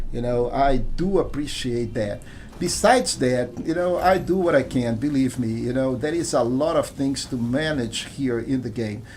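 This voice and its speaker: A man talks at a fairly slow pace in a medium pitch. Noticeable background noise runs underneath. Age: 60s. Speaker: gaming streamer. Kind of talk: live gameplay commentary. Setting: live stream. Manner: halting.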